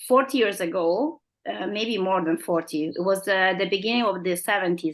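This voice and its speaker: The speaker has an Italian accent and ordinary pitch variation. The background is quiet. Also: woman. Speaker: company representative. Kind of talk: interview. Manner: halting.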